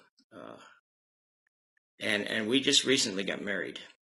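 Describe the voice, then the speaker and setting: With an American accent, a man speaks at a moderate pace in a bright, sharp tone marked by vocal fry. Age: 70s. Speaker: retiree giving a testimonial. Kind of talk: testimony. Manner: halting, many fillers.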